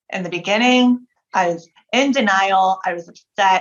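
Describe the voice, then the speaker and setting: A woman speaks at a fairly slow pace with lively intonation. Her pitch is medium. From United States, Cuban and Puerto Rican family. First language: Spanish. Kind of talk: interview.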